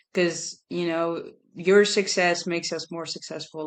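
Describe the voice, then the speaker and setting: Speaking at a moderate pace with a non-native accent, a woman uses a fairly low pitch and a monotone, flat intonation. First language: not English. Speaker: podcast co-host, softball player. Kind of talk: podcast interview. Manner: halting.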